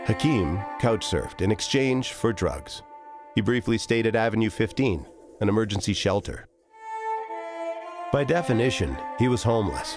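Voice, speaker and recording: With music in the background, a man at medium pitch speaks at a moderate pace with lively intonation, long, frequent pauses, and very even loudness. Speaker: voice actor. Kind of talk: documentary promo narration.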